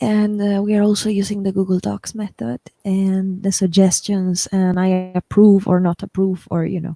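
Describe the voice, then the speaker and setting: A woman's dark, mellow voice at medium pitch with a non-native accent, moderate in pace, hardly any pauses, and a dry, close sound with no echo. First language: not English. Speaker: writer and channel host. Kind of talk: casual chat. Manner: animated.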